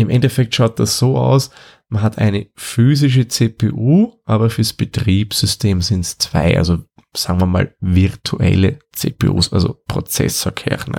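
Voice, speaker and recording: A man with a fairly low pitch speaks at a very slow pace with ordinary pitch variation. The recording is very clean with a silent background and a dry, close sound with no echo. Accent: Austrian. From Austria. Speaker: tech podcast host. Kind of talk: explanatory tutorial.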